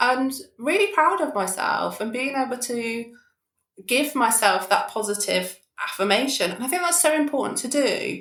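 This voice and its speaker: A moderate pace with very wide pitch swings. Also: woman. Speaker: therapeutic coach and podcaster. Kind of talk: podcast interview conversation. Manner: loud when excited.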